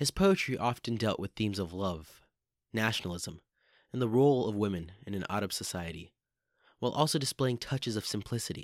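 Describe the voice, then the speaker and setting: A man with a warm tone and fairly low pitch, a fairly quick pace broken by long, frequent pauses, on a very clean recording with a silent background. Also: dry, close sound with no echo. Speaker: poetry podcast host. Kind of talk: poetry reading, performed aloud in a hushed, intimate, theatrical tone. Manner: formal, warm, ceremonial host patter.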